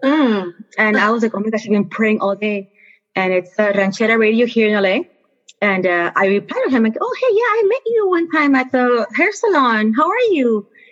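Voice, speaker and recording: A woman with a Spanish accent talks at a fairly quick pace in a fairly high voice, keeping her loudness very even. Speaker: astronomer, teacher and children's author. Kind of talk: interview. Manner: energetic.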